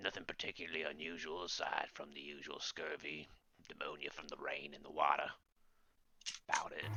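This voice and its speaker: Putting on a character voice in a strong Cockney accent, a man speaks at a fairly quick pace with long, frequent pauses, his pitch very deep and low and his voice raspy. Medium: actual play. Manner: gruff, dismissive.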